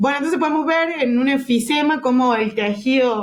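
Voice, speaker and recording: A woman speaks with ordinary pitch variation. The room echo is audible. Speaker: physiotherapy lecturer. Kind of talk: lecture.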